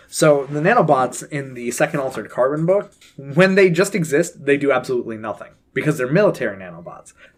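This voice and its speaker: A man's fairly high voice at a fairly quick pace, with big swings in loudness. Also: lively intonation. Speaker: podcast co-host. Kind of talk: casual chat. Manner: animated.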